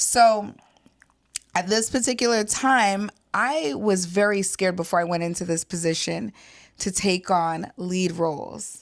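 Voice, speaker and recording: Recorded very cleanly against a silent background, a woman speaks at a fairly slow pace at a medium pitch with ordinary pitch variation. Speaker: podcast co-host, registered nurse, military spouse. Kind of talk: casual chat. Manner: soft-spoken.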